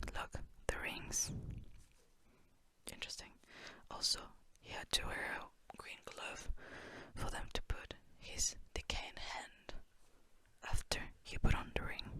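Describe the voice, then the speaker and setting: The voice is a whisper at a fairly slow pace. Long pauses come often. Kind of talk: ASMR book flip-through, casual talk. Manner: whispered; relaxed, casual.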